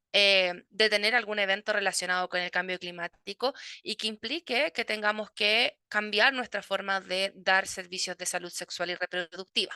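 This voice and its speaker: A woman with a bright, sharp tone speaks at medium pitch with fairly even intonation and hardly any pauses. The background is quiet, and the sound is dry and close, with no echo. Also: moderate pace. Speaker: midwife and university lecturer. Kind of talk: conference talk. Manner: hesitant, many fillers.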